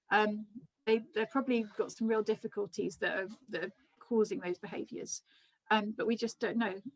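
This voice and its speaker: A somewhat breathy woman speaks at a fairly high pitch. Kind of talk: lecture. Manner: fast; hesitant, many ums.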